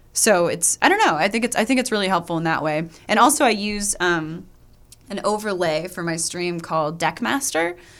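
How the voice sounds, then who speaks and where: A plain, everyday voice with an American accent, lively intonation and a fairly quick pace on a very clean recording with a silent background. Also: woman, fairly low pitch for a woman. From US Midwest, Kansas. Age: 30s. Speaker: Twitch streamer and comedian. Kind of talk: casual chat.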